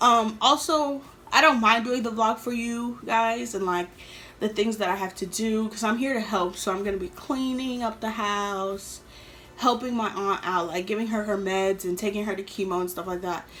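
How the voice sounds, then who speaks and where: Talking at a moderate pace in a normal speaking voice, a woman with an American accent has a fairly high pitch and ordinary pitch variation. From New York City, later Atlanta. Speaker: YouTuber. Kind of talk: storytime vlog. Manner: casual, filler-heavy.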